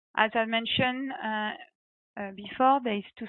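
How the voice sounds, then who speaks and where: A woman speaks with a strong French accent. Her pace is moderate. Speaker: reservoir engineer, guest speaker. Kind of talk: webinar presentation. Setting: online webinar. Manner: halting, many fillers.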